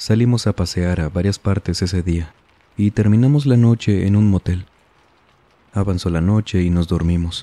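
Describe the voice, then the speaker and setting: Dark and mellow in tone, a man speaks at a fairly low pitch with ordinary pitch variation. His loudness stays very even, and the sound is dry and close with no echo. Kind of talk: horror story narration, reading listener-submitted tales aloud. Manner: slow, hushed, suspenseful storytelling pace with eerie, measured delivery; formal, courteous address to the audience.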